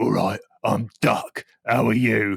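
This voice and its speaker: Putting on a character voice, a man sounds raspy. His pitch is medium. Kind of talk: duck talk in a playful voice for a child at bath time. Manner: gruff, tough-guy.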